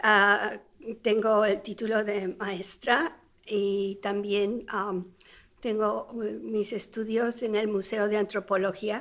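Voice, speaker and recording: Here a woman speaks with a Spanish accent at a fairly slow pace. Her pitch is medium, and her intonation is monotone and flat. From Mexico City. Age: 70s. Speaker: retired teacher and interviewee. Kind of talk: life story interview. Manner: hesitant with fillers.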